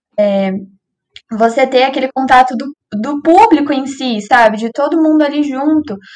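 A woman speaks at a fairly slow pace in a high voice. Her pitch varies in an ordinary way. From Cambé, Paraná, Brazil. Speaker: reporter, journalism student. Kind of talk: casual discussion.

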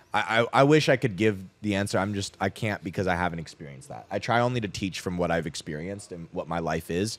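With a General American accent, a man with a very deep, low voice speaks at a very fast pace with hardly any pauses and lively intonation, on a very clean recording with a silent background. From Arizona (Scottsdale), US. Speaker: freelance copywriter and coach. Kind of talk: casual chat. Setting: cigar lounge.

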